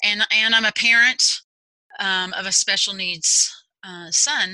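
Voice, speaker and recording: A woman has an ordinary speaking voice with an American accent. Her medium pitch follows fairly even intonation. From Texas. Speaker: executive functioning coach. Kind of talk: interview.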